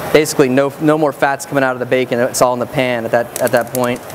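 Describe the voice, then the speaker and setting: A man at a very fast pace, in a monotone, flat intonation, with noticeable background noise. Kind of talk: cooking demonstration. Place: stage. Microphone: lapel.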